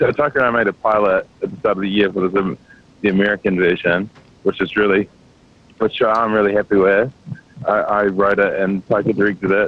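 At a moderate pace, a man uses a plain, everyday voice with a fairly low pitch, in a dry sound with no echo. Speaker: actor, guest. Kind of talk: interview answer. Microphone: phone line.

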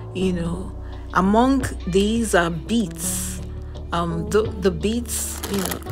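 A woman speaks at a fairly slow pace over clear music in the background. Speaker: health vlogger. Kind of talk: casual show-and-tell vlog. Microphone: phone near.

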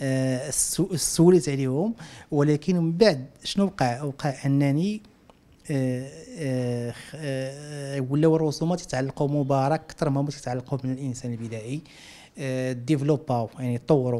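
Ordinary pitch variation marks a man's speech at a fairly slow pace. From Morocco, Casablanca. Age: 40s. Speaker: visual artist. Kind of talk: interview. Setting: at home. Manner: halting. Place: home room. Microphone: handheld.

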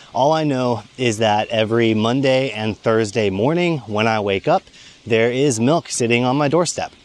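This man speaks at a moderate pace with an American accent, his pitch varying in an ordinary way. The sound is dry with no echo, and his loudness stays very even. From United States. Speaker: YouTuber. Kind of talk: vlog monologue. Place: forest. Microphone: lapel.

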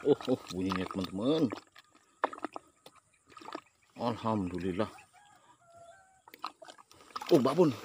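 Over noticeable background noise, a man talks at a fairly slow pace with lively intonation and long, frequent pauses, the sound dry with no echo. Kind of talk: casual vlog commentary. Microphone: phone near.

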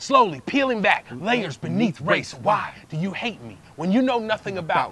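A man at a high pitch, with very wide pitch swings, big swings in loudness, hardly any pauses, and noticeable background noise. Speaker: spoken word poet, performer in a poetry duo. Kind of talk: spoken word poetry performance, with call-and-response trading of lines between two poets. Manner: fast-paced, high-energy, rhythmic.

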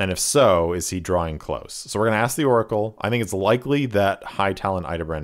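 Natural-voiced reading aloud

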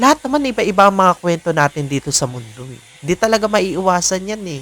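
A man at a fairly quick pace with lively intonation, dry and close with no echo, over noticeable background noise. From Philippines. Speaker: vlogger. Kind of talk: personal vlog monologue. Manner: hesitant, many fillers.

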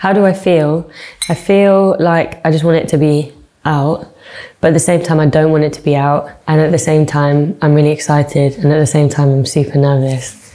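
The intonation stays fairly even. The pace is moderate. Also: woman. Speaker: singer. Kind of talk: interview answer. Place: studio.

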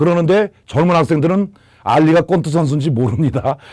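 This man talks at a moderate pace in a fairly high pitch. It is an ordinary speaking voice. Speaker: exam prep lecturer. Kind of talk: lecture.

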